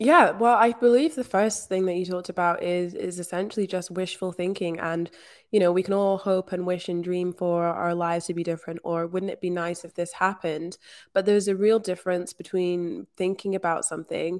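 A woman with a Scottish accent speaks at a moderate pace on a very clean recording with a silent background. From rural Scotland. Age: 20s. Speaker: manifestation coach. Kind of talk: interview.

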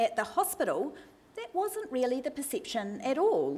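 Speaking at a moderate pace with a New Zealand accent, a woman's high voice swings very widely in pitch. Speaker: medical researcher and doctor giving a talk. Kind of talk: academic lecture. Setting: stage with audience, microphone.

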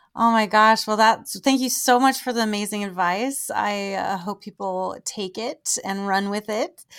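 A woman speaks in a normal speaking voice, fairly high in pitch, with fairly even intonation. Her pace is fairly slow with hardly any pauses, in a very clean recording with a silent background. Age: 30s. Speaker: podcast host and adult performer. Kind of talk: casual interview chat.

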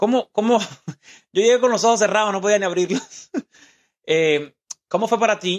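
The sound is dry and close, with no echo. The speech moves at a moderate pace. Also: man. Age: 20s. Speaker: podcast host. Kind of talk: casual interview with his mother. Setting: home studio.

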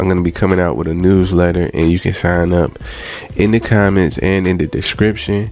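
Noticeable background noise sits behind the speaker. A man with a very deep, low voice talks at very even loudness. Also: fairly quick pace. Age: 30s. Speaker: personal finance podcaster. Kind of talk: casual solo podcast monologue. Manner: conversational, repetitive.

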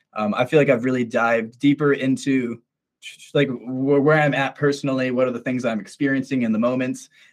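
Here a man with an American accent talks at a fairly quick pace and medium pitch in a normal speaking voice. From Minnesota, US. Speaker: musician. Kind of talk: casual interview.

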